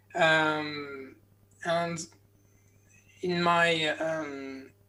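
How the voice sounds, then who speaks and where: A man's fairly high voice in a French accent. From France. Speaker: medical doctor. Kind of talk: conference talk. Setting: virtual conference. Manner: halting, many fillers.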